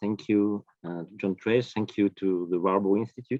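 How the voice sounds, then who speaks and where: Here a man speaks at a moderate pace. He has a French accent. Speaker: professor of history of science. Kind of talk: academic lecture. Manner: halting, many fillers.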